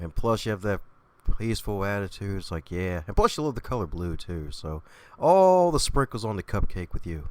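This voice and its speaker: A man with an American accent and lively intonation at a fairly quick pace, on a very clean recording with a silent background. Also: fairly low pitch for a man. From Baltimore, US. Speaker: podcast host. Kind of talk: casual interview chat. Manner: animated.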